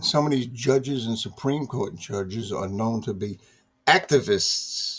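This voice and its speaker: A man speaks with an American accent in a somewhat breathy voice. He keeps a fairly slow pace. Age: 60s. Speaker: political commentary vlogger. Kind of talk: casual monologue. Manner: halting, repetitive.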